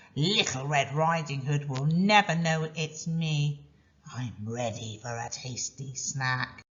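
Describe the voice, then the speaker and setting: This put-on character voice growls at a low-to-middle pitch. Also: fairly slow pace. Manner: snarling, sly, scheming.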